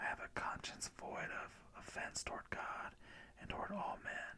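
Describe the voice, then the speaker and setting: A man whispers at a fairly slow pace. His tone is calm. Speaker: ASMR creator reading scripture. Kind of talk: ASMR scripture reading. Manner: soft-spoken, calm.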